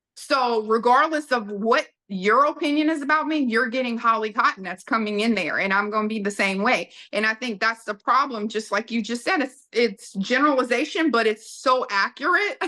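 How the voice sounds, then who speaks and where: This woman speaks in a Southern US accent at a fairly high pitch, with a bright, sharp tone and ordinary pitch variation. She leaves hardly any pauses. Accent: Southern US drawl. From US South. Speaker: podcast guest, businesswoman. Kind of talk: casual interview chat.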